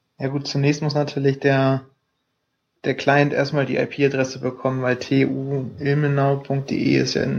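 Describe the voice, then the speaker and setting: A man's fairly high voice at a moderate pace. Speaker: student podcast co-host. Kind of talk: casual chat. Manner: hesitant, many fillers. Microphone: laptop mic.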